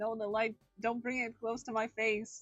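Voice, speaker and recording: A woman puts on a character voice with a fairly high pitch, monotone, flat intonation and a moderate pace. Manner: dramatic, spooky.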